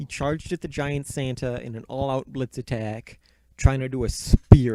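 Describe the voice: Someone does plain reading aloud. The intonation stays fairly even.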